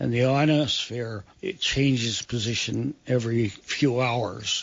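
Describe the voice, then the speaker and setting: A man's medium-pitched voice at a fairly slow pace with ordinary pitch variation, over noticeable background noise. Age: 80s+. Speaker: war veteran. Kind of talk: interview answer.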